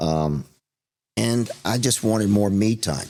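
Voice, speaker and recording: The recording is very clean with a silent background. A man talks at a fairly slow pace in a very deep, low pitch. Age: 60s. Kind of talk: podcast interview.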